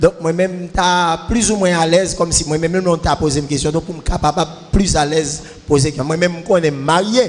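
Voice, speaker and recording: Speaking at a fairly quick pace, a man with a Haitian accent has a high pitch and fairly even intonation. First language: Haitian Creole (speaking French). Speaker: church member asking questions. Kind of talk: Q&A session. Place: church. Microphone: handheld.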